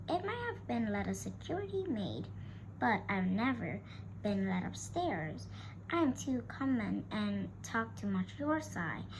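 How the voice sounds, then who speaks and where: Someone performs a put-on character voice at a fairly slow pace. Loud background noise runs underneath. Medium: read story. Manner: talkative, homely.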